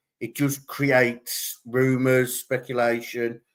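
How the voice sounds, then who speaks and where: A man at medium pitch speaks with a monotone, flat intonation. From England. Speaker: true crime livestream host. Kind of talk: live stream commentary. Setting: live stream with chat. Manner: hesitant, many fillers.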